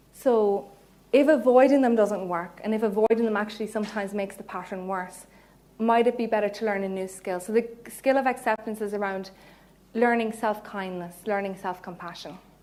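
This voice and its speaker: A woman with a Cork accent speaks fairly quickly at a fairly high pitch, her tone dark and mellow. The room echo is audible. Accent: Cork Irish. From Ireland, Cork. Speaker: psychologist. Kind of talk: lecture. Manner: animated.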